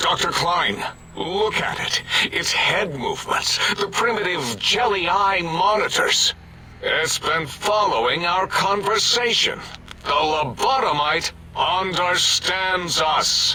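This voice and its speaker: A man puts on a character voice with a high pitch. He goes at a fairly slow pace over clear background noise. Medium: machinima. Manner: dramatic.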